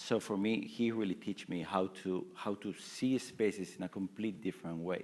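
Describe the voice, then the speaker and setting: A man speaks with a Barcelona accent. His pace is moderate. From Spain, Barcelona. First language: Spanish or Catalan. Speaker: furniture company founder and creative director. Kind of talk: panel discussion. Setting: stage with audience.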